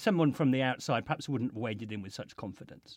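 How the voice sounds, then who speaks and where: The speaker has an English accent. The intonation is lively. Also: man. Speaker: podcast host. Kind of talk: interview conversation. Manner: hesitant, many fillers and restarts.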